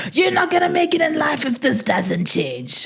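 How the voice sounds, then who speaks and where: A woman speaking at a moderate pace. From South Africa, Port Elizabeth (Eastern Cape). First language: Tswana. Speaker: podcast co-host. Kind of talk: casual chat.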